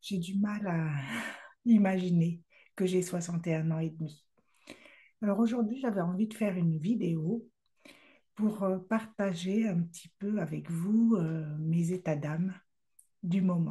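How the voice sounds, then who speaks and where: A woman with a dark, mellow, somewhat breathy tone speaks at a medium pitch with ordinary variation. She moves at a fairly slow pace with long, frequent pauses. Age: 60s. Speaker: love coach and speaker. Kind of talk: casual vlog monologue. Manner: hesitant, many fillers.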